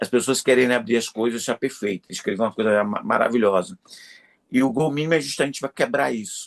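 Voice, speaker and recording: A man talks at a very fast pace with a medium pitch and ordinary pitch variation. The sound is dry and close with no echo, over a quiet background. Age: 60s. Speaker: creativity consultant and professor. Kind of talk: interview conversation.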